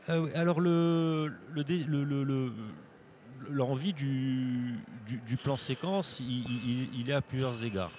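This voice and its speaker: Over noticeable background noise, a man at medium pitch speaks at a very slow pace with ordinary pitch variation and long, frequent pauses. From Corsica. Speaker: film director and actor. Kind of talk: interview. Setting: festival studio. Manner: halting, many repeated words.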